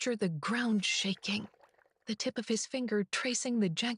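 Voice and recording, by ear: A natural voice reads aloud, its pitch varying in an ordinary way.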